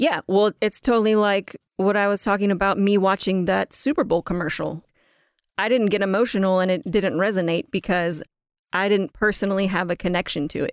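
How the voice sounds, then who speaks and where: The recording is very clean, with a silent background. A woman talks in a plain, everyday voice of medium pitch with ordinary pitch variation. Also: fairly quick pace, dry, close sound with no echo. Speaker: podcast co-host. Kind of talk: narrative storytelling podcast.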